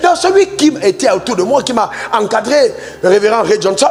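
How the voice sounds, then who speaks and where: With music in the background, a man speaks at a moderate pace in an animated tone, his extremely high pitch swinging very widely. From Cameroon. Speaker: pastor. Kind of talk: sermon.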